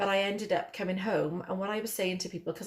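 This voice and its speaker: A woman speaks in a Welsh accent at a medium pitch. Her intonation is fairly even and her pace moderate. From Wales. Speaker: vlogger. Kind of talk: casual chat.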